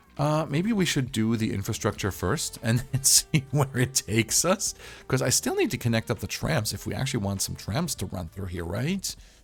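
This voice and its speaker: A man speaks at a moderate pace with a medium pitch and very wide pitch swings, in an upbeat tone. He hardly pauses, and music plays in the background. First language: not English. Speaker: gaming YouTuber. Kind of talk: game tutorial commentary. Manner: casual, upbeat.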